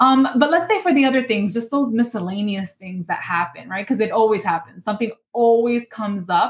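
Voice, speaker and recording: Somewhat breathy and quick, a woman with a New York accent speaks at a fairly high pitch with lively intonation and hardly any pauses. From Bronx, New York. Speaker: personal finance educator and lawyer. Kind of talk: interview.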